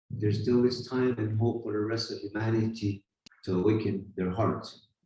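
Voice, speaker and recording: With an Arizona accent, a man talks at a fairly slow pace in a somewhat breathy, dark, mellow tone at medium pitch. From Hopi, northeast Arizona. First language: Hopi. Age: 50s. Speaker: spiritual teacher and silversmith. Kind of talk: talk at a gathering. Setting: retreat gathering with audience.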